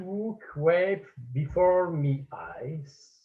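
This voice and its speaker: With a French accent, a man speaks at a high pitch with fairly even intonation. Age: 80s+. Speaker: painter and art teacher. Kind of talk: conference talk. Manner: halting.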